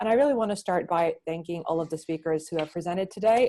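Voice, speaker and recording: Talking at a very fast pace, a woman has a dark, mellow tone, a fairly low pitch and fairly even intonation. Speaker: research support staff and event co-organiser. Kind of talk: event wrap-up summary.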